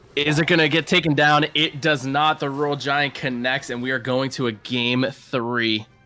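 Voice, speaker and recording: Over music in the background, a man with an American accent speaks at a moderate pace in a fairly high voice, with fairly even intonation and hardly any pauses. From Massachusetts. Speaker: esports caster and team manager. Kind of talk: live commentary.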